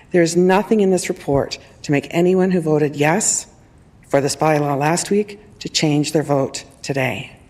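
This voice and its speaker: A normal speaking voice at a moderate pace. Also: woman. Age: 60s. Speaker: council delegation speaker, tenant. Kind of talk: public delegation speech.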